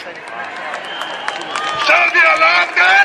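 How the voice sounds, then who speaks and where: A man's voice is heard. Behind him sits noticeable background noise. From Sweden. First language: Swedish. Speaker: doctor speaking at the rally. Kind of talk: rally speech. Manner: emphatic, rousing.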